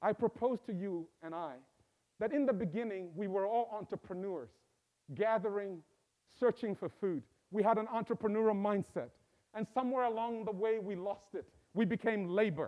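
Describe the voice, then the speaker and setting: A man speaks at a moderate pace with a high pitch and ordinary pitch variation. His speech has long, frequent pauses. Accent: Zambian. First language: Bemba. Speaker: professor. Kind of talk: inaugural speech. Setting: stage with live audience and Zoom.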